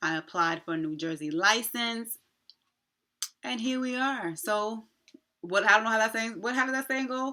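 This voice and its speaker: A woman's fairly high, bright and sharp voice with lively intonation, a moderate pace, and long, frequent pauses. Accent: American. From New York, Long Island. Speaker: nurse and nursing video creator. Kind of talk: casual vlog update. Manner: casual with many fillers.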